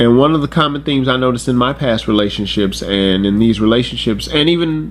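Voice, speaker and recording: Noticeable background noise accompanies a man speaking at a medium pitch and a fairly quick pace. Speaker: YouTube commentator. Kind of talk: casual commentary talk to camera.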